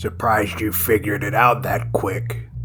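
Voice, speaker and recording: In a raspy, put-on character voice with a fairly low pitch, a man speaks at a moderate pace over clear background noise. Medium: read story. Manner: smug, taunting.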